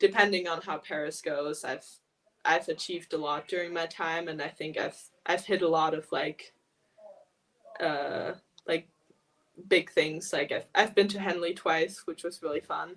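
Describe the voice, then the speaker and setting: A moderate pace with fairly even intonation and long, frequent pauses. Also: woman, fairly low pitch for a woman. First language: German. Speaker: elite rower. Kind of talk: casual interview chat. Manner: hesitant, many fillers.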